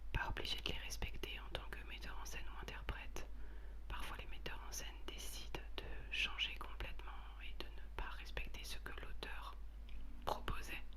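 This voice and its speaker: A woman whispers, soft-spoken and calm in tone. She goes at a moderate pace with noticeable background noise behind her. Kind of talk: whispered explanation of stage directions, talking to the audience. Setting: home recording, basic equipment. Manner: whispered, soft, calm.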